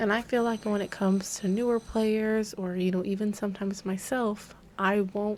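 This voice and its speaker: A woman at a moderate pace, with monotone, flat intonation. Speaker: gaming content creator. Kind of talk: casual talk to camera.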